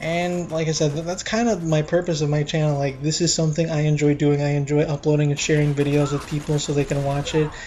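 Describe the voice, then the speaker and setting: A man mumbles at a fairly quick pace in a fairly high, tired voice with flat, monotone intonation. Noticeable background noise is present. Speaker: gaming YouTuber. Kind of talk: casual gameplay commentary. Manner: mumbling; flat, tired-sounding.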